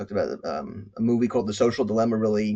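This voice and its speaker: Here a man speaks at a very fast pace with a medium pitch. His intonation is monotone and flat. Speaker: medical school professor and speaker. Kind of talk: conference talk. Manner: halting, many repeated words.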